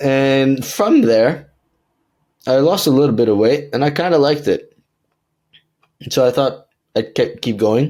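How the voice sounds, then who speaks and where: A man with an American accent speaks in a relaxed, dark, mellow tone at fairly high pitch, with ordinary pitch variation and very even loudness. His pace is fairly slow, with long, frequent pauses. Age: 20s. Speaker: online fitness coach. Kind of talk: podcast interview answer. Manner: casual, relaxed.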